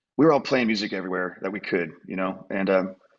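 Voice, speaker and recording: Very deep, low male voice with fairly even intonation, music in the background. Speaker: guest. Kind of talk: interview answer. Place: home room. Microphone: video call.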